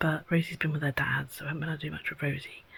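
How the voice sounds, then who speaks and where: In an English accent, a woman speaks at a very deep, low pitch with monotone, flat intonation. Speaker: vlogger. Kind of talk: casual vlog.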